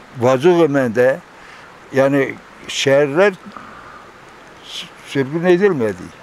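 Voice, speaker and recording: Over noticeable background noise, a man speaks at a very slow pace with long, frequent pauses. His pitch is fairly high and his intonation lively. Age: 80s+. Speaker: elderly villager recounting oral history. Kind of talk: interview.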